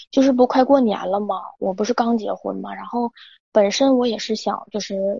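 Her loudness swings widely as a woman speaks at a moderate pace with fairly even intonation. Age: 20s. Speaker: caller. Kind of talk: advice call-in, personal story. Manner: halting, repetitive.

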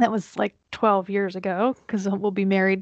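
An ordinary speaking voice, a woman's of medium pitch, comes at a moderate pace with an American accent, the sound dry and close with no echo. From central Pennsylvania, near the Maryland line. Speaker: marketing agency owner, podcaster. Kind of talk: casual chat.

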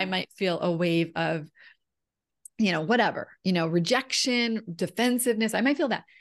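In a quiet background, a woman talks at a moderate pace with lively intonation, an ordinary speaking voice, and a medium pitch. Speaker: women's empowerment coach. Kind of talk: casual interview chat.

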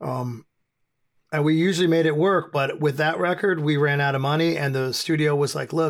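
A man with an American accent and an unremarkable speaking voice, fairly high in pitch, with fairly even intonation at a moderate pace. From US. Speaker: hardcore band frontman. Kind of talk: podcast interview. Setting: remote call.

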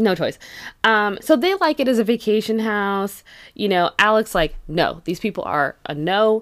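A woman with an American accent, animated in tone, her intonation lively and her pace moderate, on a very clean recording with a silent background. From California (San Jose). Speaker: podcast co-host. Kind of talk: casual chat.

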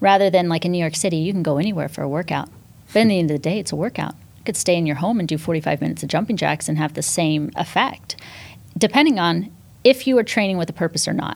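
Speaking very fast, a woman has a fairly low voice with vocal fry and ordinary pitch variation. The recording is very clean, with a silent background. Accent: American. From Northern California, US. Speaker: fitness instructor and entrepreneur. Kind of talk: podcast interview.

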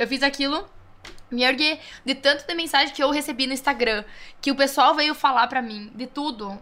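A woman's raised, projected voice, high in pitch with a bright, sharp tone. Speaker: DJ. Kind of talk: casual chat.

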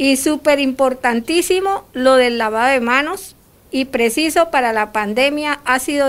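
A woman's high pitch at a fairly slow pace. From Colombia. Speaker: returned migrant, program participant. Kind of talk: testimony.

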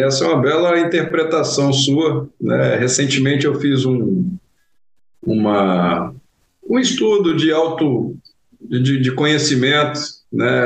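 Speaking at a very slow pace, a man with a fairly high voice is heard with audible echo from the room. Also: very even loudness. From Brazil, interior of Goiás. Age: 40s. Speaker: engineering company founder and CEO. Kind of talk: interview conversation. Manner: hesitant, frequent fillers and repetitions.

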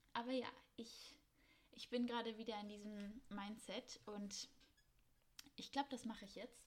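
Somewhat breathy and fairly high in pitch, a woman speaks with fairly even intonation and long, frequent pauses. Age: 20s. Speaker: podcast host, master's student. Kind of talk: casual monologue. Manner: spontaneous, chatty.

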